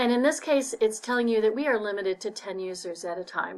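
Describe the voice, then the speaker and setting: A woman's plain, everyday voice, fairly high in pitch with ordinary variation, at a fairly quick pace against a quiet background. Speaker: librarian. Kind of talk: tutorial.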